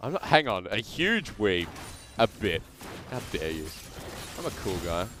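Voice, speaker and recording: Noticeable background noise runs under a man's fairly low voice. His pitch swings very widely, broken by long, frequent pauses. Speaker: esports commentator. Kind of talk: casual banter; live commentary. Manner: fast; animated.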